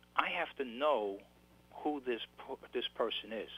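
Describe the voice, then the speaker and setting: With a New York accent, a man talks at a medium pitch with ordinary pitch variation. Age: 60s. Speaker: author. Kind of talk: interview. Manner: halting, repeats words.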